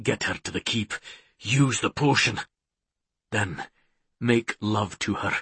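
A man puts on a character voice, hoarse, breathy and husky with a rough edge, at a fairly low pitch and a slow pace. The tone is bright and sharp, and the sound is dry and close with no echo. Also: ordinary pitch variation.

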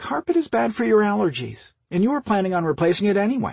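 Using a put-on character voice, a man talks at a fast pace with a high pitch, big pitch swings, vocal fry, a slightly husky edge and a slightly mellow tone.

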